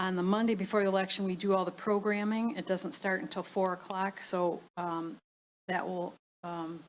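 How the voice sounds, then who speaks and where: A woman's medium-pitched voice with fairly even intonation at a moderate pace. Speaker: township clerk. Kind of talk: public board meeting discussion. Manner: halting.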